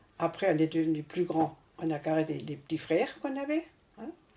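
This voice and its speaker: Over noticeable background noise, a woman with a fairly low voice talks at a moderate pace, her pitch swinging very widely. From France. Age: 80s+. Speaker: retiree telling her life story.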